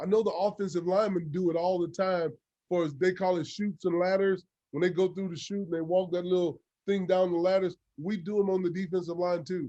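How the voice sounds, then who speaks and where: Speaking at a fairly quick pace with an American accent, a man has a high pitch, a dark, mellow tone and monotone, flat intonation. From Louisiana, US South. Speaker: football coach. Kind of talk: coaching clinic talk.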